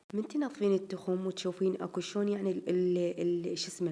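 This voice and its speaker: A woman with an Iraqi accent speaks in a dark, mellow tone. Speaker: home vlogger. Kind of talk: casual vlog chat.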